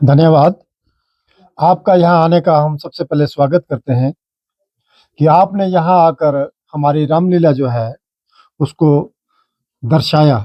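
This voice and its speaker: A man speaks at a fairly high pitch with ordinary pitch variation, leaving long, frequent pauses. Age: 60s. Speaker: Ramlila club member. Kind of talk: interview.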